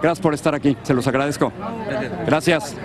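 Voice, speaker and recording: The recording is dry and echo-free, though clear background noise can be heard. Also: man. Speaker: TV news reporter. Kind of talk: live news report. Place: street. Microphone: handheld.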